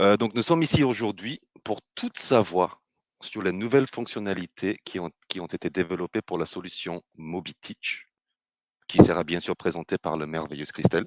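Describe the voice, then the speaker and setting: A man with a British accent speaks in a very deep, low pitch with ordinary pitch variation and big swings in loudness. His moderate pace comes through a dry, close sound with no echo. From Britain. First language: English (speaking French). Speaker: business developer, webinar host. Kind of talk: webinar presentation. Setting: online webinar. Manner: hesitant, many filler sounds.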